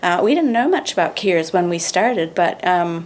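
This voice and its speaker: Over noticeable background noise, a woman with a New Zealand accent talks at a moderate pace and a medium pitch. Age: 60s. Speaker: charity founder. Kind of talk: podcast interview.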